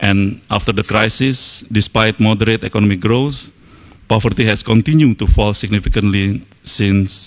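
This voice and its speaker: A man with an Indonesian accent speaks at a fairly slow pace. His fairly low voice keeps a fairly even intonation. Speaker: government official. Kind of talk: opening speech. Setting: stage with audience. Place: hall. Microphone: podium.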